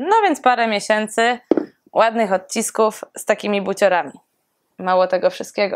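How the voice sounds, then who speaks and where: A woman speaks at a fairly quick pace, the background quiet. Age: 20s. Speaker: personal trainer and fitness competitor; personal trainer. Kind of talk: casual vlog. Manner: animated. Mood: playful, joking. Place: home room.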